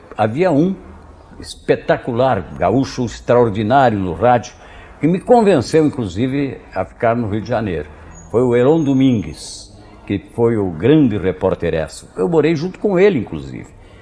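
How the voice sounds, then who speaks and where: Speaking at a fairly slow pace, a man uses a medium pitch with very wide pitch swings. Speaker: sports radio commentator and announcer. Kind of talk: interview answer. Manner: soft-spoken, direct, simple, confident.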